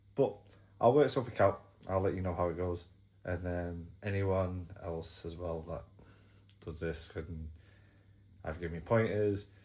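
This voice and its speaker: With an English accent, a man speaks in a very deep, low voice of dark, mellow tone, somewhat breathy. He leaves long, frequent pauses. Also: ordinary pitch variation, moderate pace. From England. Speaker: YouTuber. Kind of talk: casual vlog talk. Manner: hesitant, repeats words.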